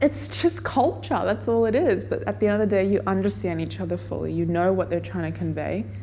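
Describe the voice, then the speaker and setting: Speaking at a fairly quick pace with an Australian accent, a woman is heard over noticeable background noise and audible room echo. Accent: shaped by Australian dad. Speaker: interviewee. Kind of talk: interview.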